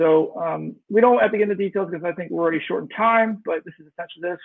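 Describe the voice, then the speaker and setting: A man talks at a very fast pace. His pitch variation is ordinary. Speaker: startup founder pitching to investors. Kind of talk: startup pitch. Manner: hesitant, many fillers.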